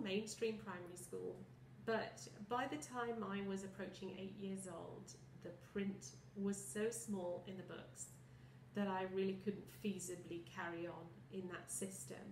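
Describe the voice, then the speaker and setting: With audible room echo, a woman speaks at a fairly slow pace using lively intonation. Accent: British. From southern England, Kent. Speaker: visually impaired product specialist. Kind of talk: personal testimony. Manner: articulate, some hesitations.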